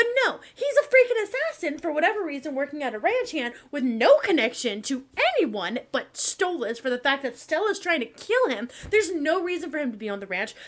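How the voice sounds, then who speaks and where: A high-pitched woman with an American accent, animated in tone, at a fairly quick pace with hardly any pauses, very wide pitch swings, and noticeable background noise. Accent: Southern accent when angry, otherwise little. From Texas. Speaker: commentary youtuber. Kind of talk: casual commentary. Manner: animated, ranting.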